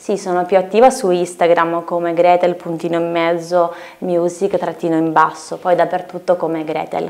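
A woman's fairly low-pitched voice at a moderate pace, in monotone, flat intonation. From Lithuania, moved to Italy at 10. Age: 20s. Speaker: singer-songwriter; guest. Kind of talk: interview. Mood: calm, friendly. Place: studio.

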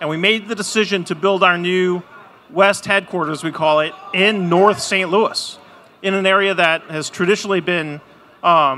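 A man's high voice with fairly even intonation at a moderate pace, over light background noise. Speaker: panelist. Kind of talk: panel discussion answer. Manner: playful, joking. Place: stage. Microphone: handheld.

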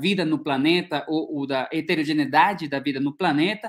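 A man speaks with a Spanish accent at a moderate pace. The background is quiet. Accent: Spanish-accented Portuguese, rusty. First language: Spanish (speaking Portuguese). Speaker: ecology researcher, professor; professor. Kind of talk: academic lecture. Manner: halting, many repetitions and fillers. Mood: friendly, relaxed. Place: home room. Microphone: earbuds.

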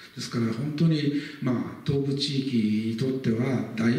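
A man talks with ordinary pitch variation, and audible room echo surrounds his voice. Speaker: local history lecturer. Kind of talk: lecture. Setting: lecture hall with live audience. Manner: formal, frequent filler words. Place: hall.

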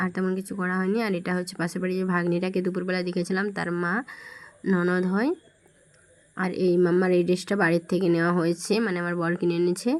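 The woman's intonation is flat and monotone, her pitch sitting in the medium range. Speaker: family vlogger. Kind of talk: vlog narration. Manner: casual, conversational.

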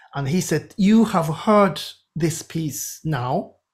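Against a quiet background, a man speaks with a Japanese accent. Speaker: composer; podcast guest. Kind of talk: interview. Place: home room. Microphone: webcam.

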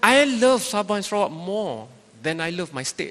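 This man talks fairly slowly with a Malaysian accent. His voice sits high for a man and swings very widely in pitch. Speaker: panel moderator and journalist; panel moderator, journalist. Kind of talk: moderated panel discussion. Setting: stage with audience. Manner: animated. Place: hall. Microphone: handheld.

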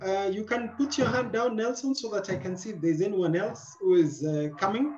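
A man speaks at a moderate pace with lively intonation in a high voice. Light background noise can be heard. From Kenya. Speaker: moderator. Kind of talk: moderated webinar. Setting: video call. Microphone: video call.

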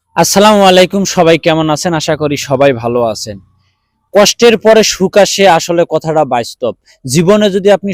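In a dry, close sound with no echo, a man uses lively intonation at a high pitch. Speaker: vlogger. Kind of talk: vlog monologue.

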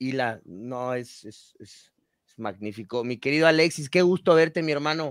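Against a quiet background, a man speaks at a fairly slow pace with ordinary pitch variation and big swings in loudness, the sound dry with no echo. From Ecuador. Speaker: podcast co-host. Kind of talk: casual chat. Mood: warm, friendly. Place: home room. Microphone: video call.

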